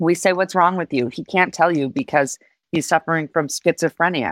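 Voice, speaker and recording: Heard dry and close with no echo, a woman with an unremarkable speaking voice and an American accent talks at a moderate pace with ordinary pitch variation. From Reno, Nevada, US. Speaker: city mayor. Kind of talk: interview.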